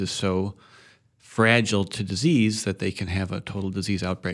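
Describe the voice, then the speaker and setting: Fairly low male voice in an Upper Midwest accent, delivered in a flat monotone. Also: very clean recording, silent background. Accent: Upper Midwest American. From Madison, Wisconsin. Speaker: farmer. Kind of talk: radio interview.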